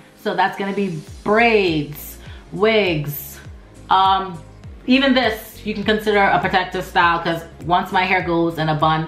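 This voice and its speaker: With music in the background, a woman speaks at medium pitch and a fairly slow pace, with ordinary pitch variation. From Turks and Caicos Islands. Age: 20s. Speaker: natural hair YouTuber. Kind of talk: casual talk to camera.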